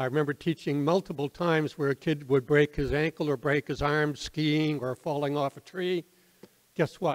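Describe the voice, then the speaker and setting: A man with an Atlantic Canadian accent speaks at a moderate pace and a fairly high pitch. His intonation is fairly even, and the background is quiet. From Nova Scotia, Halifax; Nova Scotia. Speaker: retired teacher and theatre troupe founder; guest. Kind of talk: informal talk to audience. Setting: community hall with audience. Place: hall. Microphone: podium.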